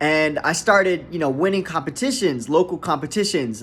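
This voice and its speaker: Here is an ordinary speaking voice from a man with an American accent. His pitch is fairly high with ordinary variation, and his pace is moderate. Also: very clean recording, silent background. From US South, Miami, Florida. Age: 20s. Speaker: jazz bassist. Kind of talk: casual talk to camera. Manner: casual, relaxed.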